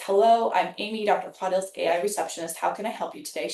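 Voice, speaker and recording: A woman puts on a raspy character voice at medium pitch, talking very fast. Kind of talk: polite, professional. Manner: friendly, personable.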